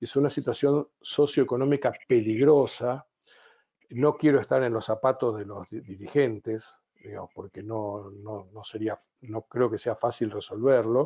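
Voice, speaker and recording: A man talks at a fairly slow pace with an Argentine accent. His intonation stays fairly even while his loudness swings a lot. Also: medium pitch for a man. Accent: Argentine Spanish (Rioplatense). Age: 70s. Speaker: business consultant and psychotherapist. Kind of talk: webinar talk. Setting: online webinar.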